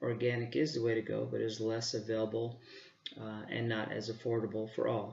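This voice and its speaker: In a room with audible echo, a man with a medium pitch and a somewhat breathy voice speaks at a fairly quick pace with fairly even intonation. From Arizona, Phoenix area. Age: 40s. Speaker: park manager and student. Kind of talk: self-introduction.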